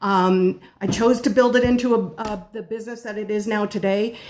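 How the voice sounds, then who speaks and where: A woman's fairly high voice carries lively intonation while noticeable noise sits in the background. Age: 50s. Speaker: home-based baker. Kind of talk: live stream talk. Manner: fast.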